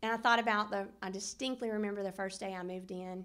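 A woman speaks in a Southern US accent. Her intonation is monotone and flat. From US South, Middle Tennessee; Tennessee. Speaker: hall of fame inductee, former basketball player. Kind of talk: acceptance speech. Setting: banquet room with audience. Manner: halting, many fillers. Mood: warm, reminiscing. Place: hall. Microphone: podium.

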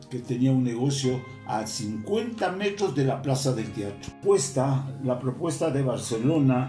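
Faint music plays in the background as a man talks at a fairly slow pace and medium pitch, with audible room echo. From Quito, Ecuador. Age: 80s+. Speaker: retired footballer. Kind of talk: interview answer. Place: home room.

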